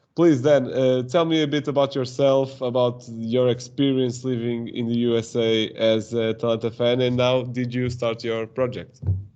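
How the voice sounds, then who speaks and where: A man with a Portuguese accent speaks at a moderate pace and medium pitch, hardly pausing at all. His intonation is monotone and flat. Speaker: podcast host. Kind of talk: podcast interview. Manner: halting.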